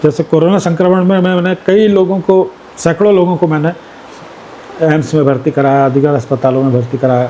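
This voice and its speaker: Noticeable background noise sits under a man's fairly high voice, which keeps a very even loudness and ordinary pitch variation. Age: 60s. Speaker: politician. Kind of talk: interview.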